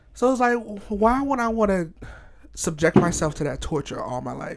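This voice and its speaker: The pitch moves in very wide swings. The pace is fairly quick. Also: man. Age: 20s. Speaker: podcast co-host. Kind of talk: casual chat.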